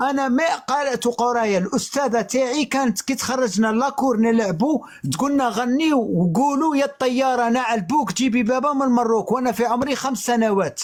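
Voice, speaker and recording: A man's extremely high-pitched voice at a moderate pace with hardly any pauses, very even loudness and ordinary pitch variation, over noticeable background noise. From Algeria. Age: 40s. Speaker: live stream guest. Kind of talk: testimony. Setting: online live stream. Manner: emphatic.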